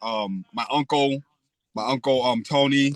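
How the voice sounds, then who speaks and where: Captured in a dry, close sound with no echo, a man speaks with an American accent at a medium pitch. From Spring Valley, Rockland County, New York. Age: 30s. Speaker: podcast guest, former felon. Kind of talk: casual interview.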